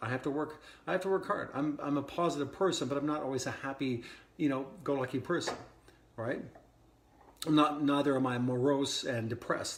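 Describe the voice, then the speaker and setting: Over audible room echo, a man at a medium pitch talks at a very fast pace in an excited tone. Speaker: wellness coach. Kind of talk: podcast monologue. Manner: casual with frequent restarts; speeding up as he gets excited.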